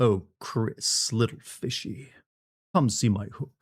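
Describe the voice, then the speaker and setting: In a put-on character voice, a man speaks very slowly at a medium pitch with lively intonation, on a very clean recording with a silent background. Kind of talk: vaudevillian. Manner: theatrical, sly, menacing.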